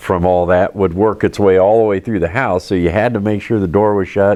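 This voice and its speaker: He speaks in a normal speaking voice, a man with fairly low pitch and fairly even intonation. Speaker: lifelong German Village resident, oral history interviewee. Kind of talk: oral history interview answer, recalling childhood.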